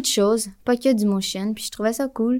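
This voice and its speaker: The moderate pace and ordinary pitch variation come through in a very clean recording with a silent background. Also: woman. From Quebec, Montreal. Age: 20s. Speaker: motion designer. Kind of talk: casual interview. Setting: in person at a festival.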